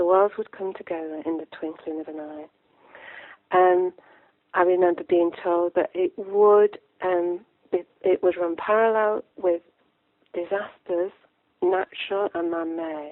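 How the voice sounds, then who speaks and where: A woman with a Lancashire accent talks fairly slowly in a fairly low pitch, with long, frequent pauses. Her intonation stays fairly even while her loudness swings widely. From northern England, Lancashire. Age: 60s. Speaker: author. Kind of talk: interview. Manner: halting.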